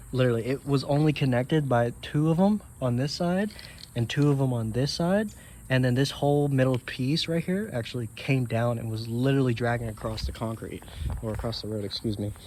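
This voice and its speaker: Fairly quick speech from a man, his pitch variation ordinary. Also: medium pitch for a man. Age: young. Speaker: car owner vlogger. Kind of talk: casual walkaround video. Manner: halting, many fillers.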